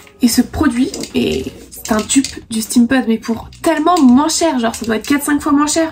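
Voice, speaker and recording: A woman's high-pitched voice at a moderate pace, with ordinary pitch variation, over noticeable background noise. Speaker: beauty YouTuber. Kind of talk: product review vlog. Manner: animated.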